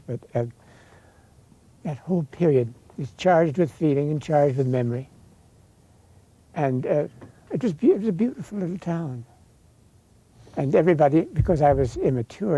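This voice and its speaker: A man with an American accent speaks at a fairly quick pace with long, frequent pauses, using a somewhat breathy, dark, mellow tone and ordinary pitch variation. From Lincoln, Illinois. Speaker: novelist and magazine editor. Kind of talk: interview answer.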